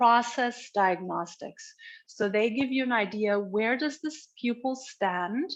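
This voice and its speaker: Speaking at a fairly slow pace with a German accent, a woman has a bright, sharp tone, fairly high pitch and ordinary pitch variation. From Germany (Berlin). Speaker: education expert. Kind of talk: conference presentation. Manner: halting, with fillers and restarts.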